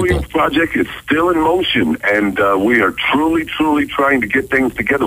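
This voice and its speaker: A man with an American accent and very wide pitch swings, over noticeable background noise. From United States, Ohio. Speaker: radio voice-over announcer and author. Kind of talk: radio phone interview answer.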